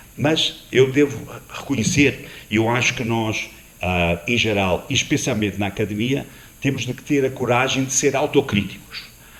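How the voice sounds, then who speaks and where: A man with a non-native accent talks at a moderate pace, his medium pitch showing ordinary variation. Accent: foreign accent in Portuguese. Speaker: panel moderator, tourism executive. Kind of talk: panel discussion. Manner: hesitant, frequent 'ah' fillers.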